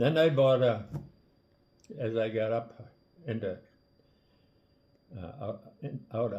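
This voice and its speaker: At a medium pitch and a fairly slow pace, a man sounds somewhat breathy, with ordinary pitch variation. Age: 80s+. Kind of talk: casual storytelling. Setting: kitchen table.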